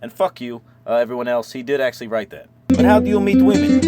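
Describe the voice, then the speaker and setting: Over noticeable background noise, a man talks very fast with a fairly high pitch and lively intonation. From Kentucky. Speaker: comedic YouTuber, full-time RVer. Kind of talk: comedic monologue answering viewer mail. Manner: casual, joking, profane.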